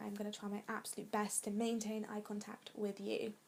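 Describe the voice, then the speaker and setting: A woman with an English accent speaks at a moderate pace. Her fairly high voice is somewhat breathy. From England. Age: 20s. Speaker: vlogger. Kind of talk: casual chat.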